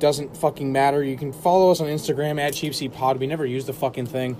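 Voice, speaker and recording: A man at a very fast pace with a fairly high pitch, over noticeable background noise. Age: 20s. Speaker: podcast host. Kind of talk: casual chat. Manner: animated.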